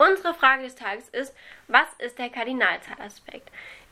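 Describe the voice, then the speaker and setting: With a raised, projected voice, a woman speaks in a bright, sharp tone at a high pitch. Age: young. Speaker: student teacher podcast host. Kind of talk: scripted educational explainer.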